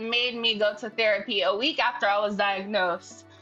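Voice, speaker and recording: A woman with an American accent at a moderate pace, noticeable background noise behind her. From New Jersey. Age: 20s. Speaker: woman living with HIV, social media creator. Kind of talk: personal testimony. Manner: casual, many fillers.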